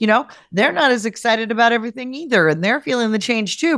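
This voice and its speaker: Dry and close with no echo, a woman's voice comes through at a fairly high pitch with an animated tone. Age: 50s. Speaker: guest sharing menopause experience. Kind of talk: casual chat.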